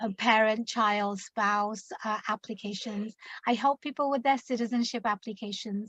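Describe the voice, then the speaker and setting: In an English accent, a woman talks at a moderate pace with ordinary pitch variation, the sound dry and close with no echo. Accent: British (English). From London, England. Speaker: immigration attorney. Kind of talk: interview.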